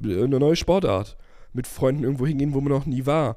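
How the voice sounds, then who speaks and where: With a dark, mellow tone, a man speaks at a moderate pace in a fairly high pitch. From Germany, small village. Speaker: podcast co-host. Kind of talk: casual chat.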